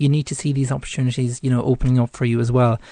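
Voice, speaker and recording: A man's very fast speech in an Irish accent, dark and mellow in tone with fairly even intonation, over a quiet background. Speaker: psychic radio host. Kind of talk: tarot reading on live radio. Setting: studio. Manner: hesitant, many fillers.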